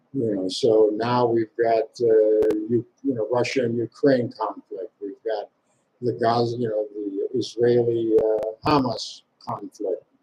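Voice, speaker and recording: Very slow and monotone, a man speaks with flat intonation, a somewhat breathy, dark, mellow tone and a dry, close sound with no echo. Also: medium pitch for a man. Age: 70s. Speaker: vlogger. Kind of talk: live monologue. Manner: halting.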